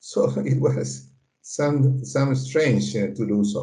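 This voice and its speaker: A man speaks with a Spanish accent. Audible room echo surrounds his voice. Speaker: political science professor. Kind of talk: interview. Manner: halting, many fillers.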